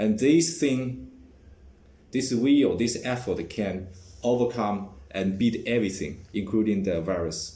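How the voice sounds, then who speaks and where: A man with a Chinese accent speaks at a fairly low pitch in a dark, mellow tone, with audible room echo. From China. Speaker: vlogger. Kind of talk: personal vlog monologue. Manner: halting, many fillers and restarts.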